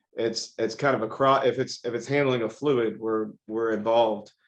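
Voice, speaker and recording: In an American accent, a man with a plain, everyday voice speaks at a medium pitch and moderate pace against a quiet background. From Texas, Houston. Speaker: industrial equipment company co-owner. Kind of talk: interview.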